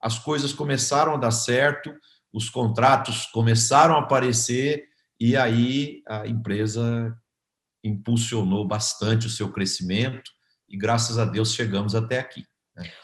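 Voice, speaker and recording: With a Brazilian interior accent, a man speaks at a medium pitch and a fairly slow pace, somewhat breathy, with fairly even intonation. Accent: rural Brazilian interior. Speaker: agribusiness consultancy founder. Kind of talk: interview testimony. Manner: hesitant, repeats words.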